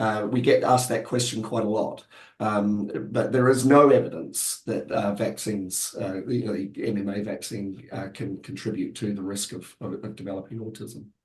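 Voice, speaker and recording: Loudness swings widely as a man speaks at a moderate pace, his pitch fairly low with ordinary variation. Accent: New Zealand. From New Zealand. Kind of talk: webinar discussion. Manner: halting, many fillers.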